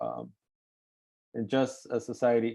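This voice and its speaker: This is a man speaking. He talks with an East LA accent. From East Los Angeles. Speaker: webinar moderator. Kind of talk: panel webinar closing remarks. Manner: halting, many fillers and repeats.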